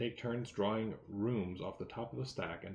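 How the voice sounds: The speaker reads in a natural reading voice with fairly even intonation.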